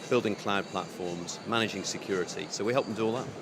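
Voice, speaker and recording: Amid noticeable background noise and audible room echo, a man speaks at a fairly quick pace in a fairly low pitch with ordinary pitch variation. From United Kingdom. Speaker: telecom business executive. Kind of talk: conference interview. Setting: conference venue.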